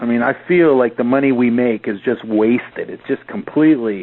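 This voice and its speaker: Noticeable background noise sits behind a man speaking with lively intonation. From Canada. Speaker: podcast host, affiliate marketer. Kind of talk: casual interview chat.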